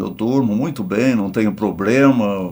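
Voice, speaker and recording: Pitched in the medium range, a man's voice shows ordinary pitch variation. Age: 80s+. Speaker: retired pastor. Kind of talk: testimony. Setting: podcast interview.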